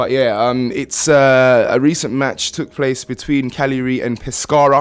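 Here a man talks with a British accent. His intonation stays fairly even. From UK, Ghanaian family. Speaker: radio host. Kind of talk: casual chat.

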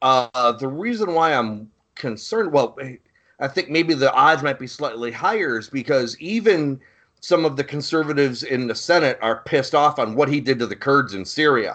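At a moderate pace, a man with a fairly high voice speaks in a bright, sharp tone. His intonation is lively, and the background is quiet. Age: 40s. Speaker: podcast host, Marine veteran. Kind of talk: casual chat.

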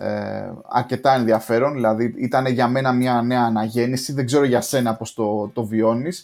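A man talks in an ordinary speaking voice at a medium pitch and a moderate pace. There are hardly any pauses, and his intonation is fairly even. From Greece. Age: 40s. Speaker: software developer and podcaster. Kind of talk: casual chat. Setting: online call.

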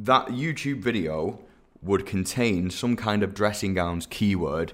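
In a very clean recording with a silent background, a man talks at a fairly slow pace with fairly low pitch and ordinary pitch variation. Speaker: SEO expert podcast host. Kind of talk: educational monologue with practical tips. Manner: conversational, slightly hesitant with repeats.

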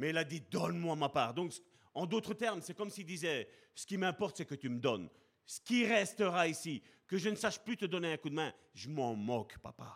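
On a very clean recording with a silent background, a man with a high pitch talks at a moderate pace with lively intonation. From Belgium, Charleroi (Sicilian family). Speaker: preacher. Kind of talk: sermon.

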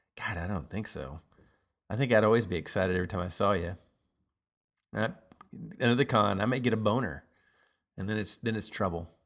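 A man with a fairly low pitch at a very fast pace, broken by long, frequent pauses, on a very clean recording with a silent background. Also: ordinary pitch variation. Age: 50s. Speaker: podcast host. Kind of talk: casual monologue. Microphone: new computer setup, single input.

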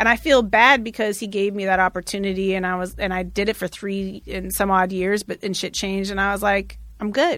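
Speaking with an American accent, this a plain, everyday voice moves at a fairly quick pace with hardly any pauses and fairly even intonation. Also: woman, medium pitch for a woman. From Oregon, US (Eugene). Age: 40s. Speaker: radio personality. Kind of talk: casual interview conversation. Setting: studio.

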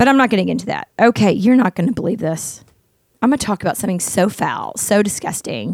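With vocal fry and an animated tone, a woman of medium pitch talks at a fairly quick pace with ordinary pitch variation. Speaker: podcast host and author. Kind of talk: casual chat. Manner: fast.

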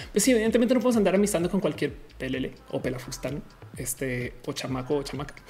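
A woman speaks very fast in a very deep, low pitch, swinging her pitch very widely. Noticeable background noise runs underneath. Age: 30s. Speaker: streamer. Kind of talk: casual live-stream chat. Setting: home studio.

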